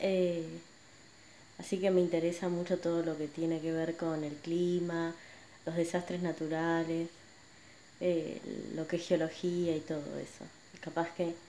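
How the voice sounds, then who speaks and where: With a Rioplatense accent, a woman speaks at a fairly slow pace with long, frequent pauses, a fairly low pitch, a dark, mellow tone, and monotone, flat intonation. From Buenos Aires, Argentina. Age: 30s. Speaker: podcaster and image consultant. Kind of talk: personal monologue. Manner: hesitant, many fillers.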